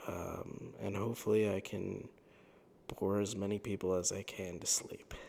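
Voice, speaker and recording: A man whispering at a moderate pace. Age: 20s. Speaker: YouTuber. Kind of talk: sleep talk monologue. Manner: calm, mundane tone; hesitant, many fillers. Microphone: new better microphone.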